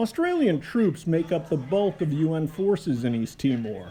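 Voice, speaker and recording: Over noticeable background noise, a man with an American accent speaks at a fairly slow pace in a high pitch with very wide pitch swings. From United States. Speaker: war correspondent and documentary narrator. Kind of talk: documentary narration.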